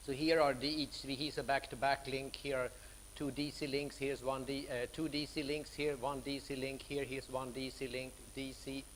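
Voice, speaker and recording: A man talks at a moderate pace with a medium pitch and monotone, flat intonation. Audible room echo surrounds the voice. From Sweden. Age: 60s. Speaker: professor. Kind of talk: lecture.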